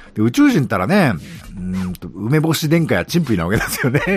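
The voice swings very widely in pitch at a very fast pace. Noticeable background noise runs underneath. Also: man. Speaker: podcast host. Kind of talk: casual monologue.

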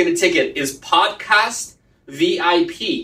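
This raised, projected voice moves through very wide pitch swings. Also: man. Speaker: podcast host. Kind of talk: live interview chat. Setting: Facebook Live video call.

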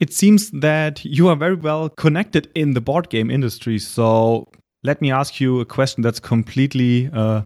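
With a German accent, a man speaks at a moderate pace and medium pitch, using ordinary pitch variation, in a dry, close sound with no echo on a very clean recording with a silent background. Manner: halting, hesitant with fillers.

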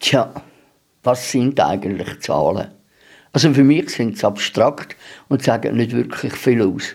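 Very slow and broken by long, frequent pauses, a man's medium-pitched voice shows vocal fry and lively intonation. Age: 70s. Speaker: radio host. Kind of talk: reading aloud; radio show presentation.

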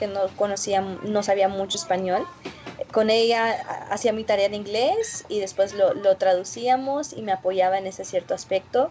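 A woman at a fairly slow pace, with ordinary pitch variation and noticeable background noise. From Florida, US (Mexican-born). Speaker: social entrepreneur. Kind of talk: interview.

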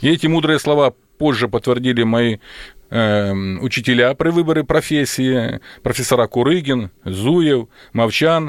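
With long, frequent pauses and a fairly slow pace, a man speaks at a medium pitch with ordinary pitch variation and very even loudness, in a dry, close sound with no echo. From Ukraine (Volhynia). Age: 50s. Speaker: military surgeon. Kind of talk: radio interview. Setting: studio. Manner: formal.

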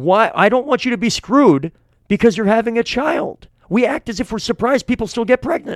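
A man speaks with an energetic tone and lively intonation at an extremely high pitch. His pace is fairly quick, and the sound is dry and close with no echo. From New Hampshire, Manchester. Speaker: gubernatorial candidate, former mayor. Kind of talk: interview. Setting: studio.

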